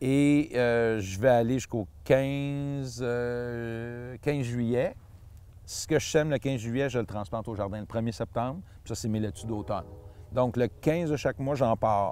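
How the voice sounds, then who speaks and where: A man with a Quebec accent speaks at a very slow pace in a dark, mellow tone. His pitch is medium with ordinary variation, and the sound is dry with no echo. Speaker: seed grower and gardener. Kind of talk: tutorial. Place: garden.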